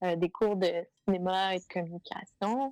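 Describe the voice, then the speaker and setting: A woman speaks in a Quebec accent. The sound is dry and close, with no echo. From Quebec, Montreal South Shore. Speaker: adventure filmmaker and explorer. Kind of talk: casual interview.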